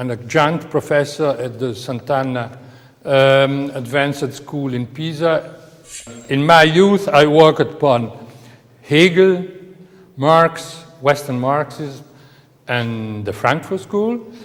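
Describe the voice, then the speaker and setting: Speaking very slowly with a non-native accent, a man at fairly high pitch uses ordinary pitch variation and long, frequent pauses. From Italy. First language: Italian. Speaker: professor. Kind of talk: lecture. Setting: on location in city hall. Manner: halting, many fillers.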